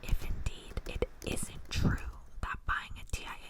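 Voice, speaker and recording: Noticeable background noise accompanies someone who is whispering. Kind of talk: whispered ASMR reading of academic text. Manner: soft-spoken, whispered.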